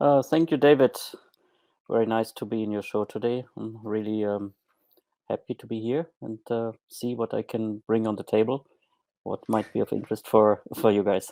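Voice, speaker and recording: A man's dark, mellow voice with a German accent, fairly even intonation and moderate pace, on a very clean recording with a silent background and a dry, close sound with no echo. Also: medium pitch for a man. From Germany. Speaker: former hotel manager turned online marketer. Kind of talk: podcast interview. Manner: hesitant, many fillers.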